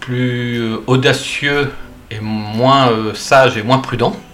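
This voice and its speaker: Fairly even intonation from a man, with noticeable noise behind him. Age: 60s. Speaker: pilgrim and author. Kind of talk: interview. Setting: at his home. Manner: halting.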